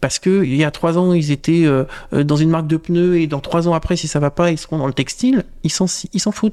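Speaking at a fairly quick pace, a man has a high voice. His tone is dark and mellow. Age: 30s. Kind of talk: casual interview chat.

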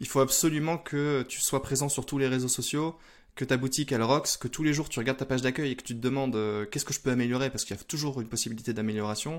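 A man's voice at a very fast pace with fairly even intonation, in a very clean recording with a silent background. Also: medium pitch for a man. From northern France (Lille). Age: 30s. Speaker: e-commerce entrepreneur. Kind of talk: interview.

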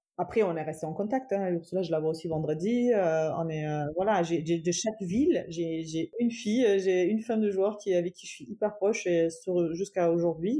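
Here a woman speaks with a German accent in a dark, mellow tone. Her pitch is fairly low with ordinary variation, and her pace is moderate. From Germany, Cologne, Iranian parents. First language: German (speaking French). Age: 30s. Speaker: entrepreneur, footballer's wife. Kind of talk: interview, personal story.

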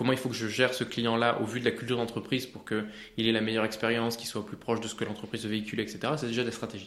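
A man at medium pitch talks at a very fast pace with hardly any pauses. His intonation is monotone and flat, and there is noticeable background noise. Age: 30s. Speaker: AI entrepreneur. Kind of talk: interview.

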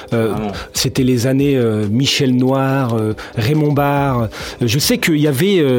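Amid noticeable background noise and audible room echo, a man talks at a very slow pace in a medium pitch with ordinary pitch variation. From Lyon, France. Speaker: podcast host. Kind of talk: casual chat.

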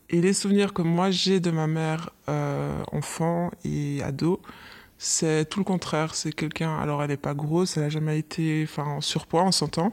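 This woman speaks in a very deep, low voice with fairly even intonation. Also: moderate pace. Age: 30s. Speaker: office worker, mother. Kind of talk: casual chat.

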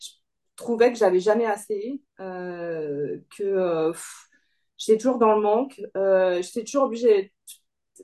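With a dark, mellow tone, a woman talks at a very slow pace in a medium pitch, using ordinary pitch variation, big swings in loudness and long, frequent pauses. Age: 50s. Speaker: coaching client, part-time employee and self-employed. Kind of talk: interview testimony. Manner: hesitant, many fillers and repetitions.

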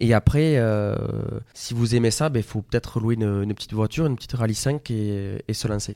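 This man's dark, mellow voice sits at a medium pitch and moves at a fairly quick pace with fairly even intonation, captured as a dry, close sound with no echo on a very clean recording with a silent background. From southern France, Tarn (Mazamet). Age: 20s. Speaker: rally driver. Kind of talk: radio interview.

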